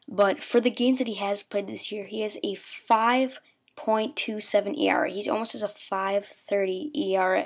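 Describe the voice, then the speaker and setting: Speaking at a moderate pace, a woman uses a fairly high voice with ordinary pitch variation. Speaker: sports video maker. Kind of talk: casual talk to camera. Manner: semi-whispered.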